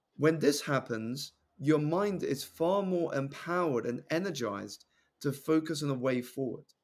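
A man with a southern English accent speaks in a fairly high pitch. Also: ordinary pitch variation, moderate pace. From southeast England. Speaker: personal development coach and public speaker. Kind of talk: podcast interview.

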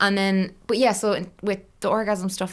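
Fairly quick, fairly even speech from a woman with an Irish accent, on a very clean recording with a silent background. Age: 30s. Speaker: online content creator and author. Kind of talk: casual interview chat.

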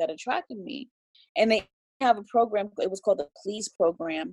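A woman with an unremarkable speaking voice talks at a medium pitch, recorded dry and close with no echo. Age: 30s. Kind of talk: casual interview chat.

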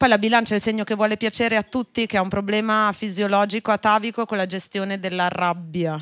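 A woman of medium pitch speaks at a very fast pace with hardly any pauses and fairly even intonation, the sound dry and close with no echo in a very clean recording with a silent background. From Genoa, Italy. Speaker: podcast host, astrologer. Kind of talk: live podcast interview. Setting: live show in a wine bar with audience.

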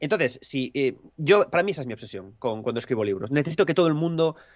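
This man's voice sits fairly high and moves at a fairly quick pace. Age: 40s. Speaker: author. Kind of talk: casual chat.

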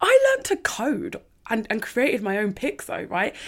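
A woman speaks with a London accent. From North London. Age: 20s. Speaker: self-discovery coach. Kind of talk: casual chat. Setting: remote recording with headphones and mic.

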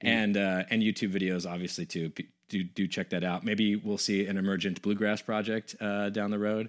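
A man speaks in an American accent at a moderate pace, his pitch fairly low and his intonation flat and monotone. The recording is very clean, with a silent background. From US West Coast. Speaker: podcast host. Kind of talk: casual interview conversation. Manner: hesitant, many fillers.

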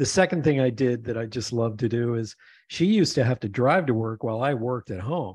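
A man with an American accent speaks at a fairly quick pace and a medium pitch, with ordinary pitch variation against a quiet background. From Pennsylvania, US. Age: 60s. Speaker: podcast host and author. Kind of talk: casual chat. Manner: animated.

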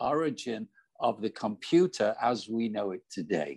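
A man with a Manchester accent speaks at a medium pitch with lively intonation, the sound dry and close with no echo against a quiet background. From northern England, Manchester. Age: 70s. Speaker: business coach and entrepreneur. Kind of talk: interview. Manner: halting, frequent repetitions.

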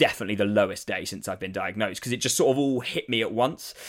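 A man with a southern English accent talks at a very fast pace. His pitch is medium and varies in an ordinary way. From eastern England, Saffron Walden near Cambridge. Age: 20s. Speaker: comedian. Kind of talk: casual interview. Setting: video call.

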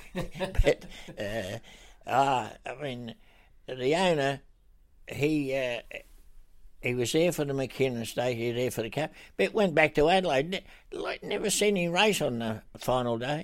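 With a strong Australian accent and a fairly high pitch, a man speaks at a fairly slow pace with lively intonation and long, frequent pauses on a very clean recording with a silent background. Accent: broad Australian. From Australia, Broken Hill. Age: 80s+. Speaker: retired racehorse trainer. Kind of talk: interview. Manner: halting.

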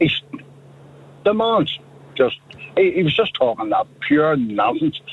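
Over noticeable background noise, a man with a Northern Irish accent speaks at a fairly slow pace. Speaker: radio phone-in caller. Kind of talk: phone-in call. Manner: animated.

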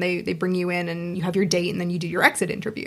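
In a Pacific Northwest accent, a woman is speaking. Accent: American, Pacific Northwest. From Seattle, US Pacific Northwest. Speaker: sex shop owner and wedding celebrant. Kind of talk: casual chat. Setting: studio.

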